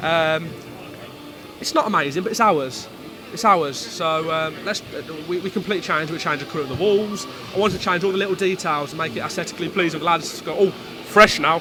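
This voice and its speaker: With music in the background and audible room echo, a man with a Midlands accent speaks at a very fast pace. His high voice shows ordinary pitch variation, broken by long, frequent pauses. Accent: Midlands accent, stronger with cold. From English Midlands. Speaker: football club executive. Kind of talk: casual interview.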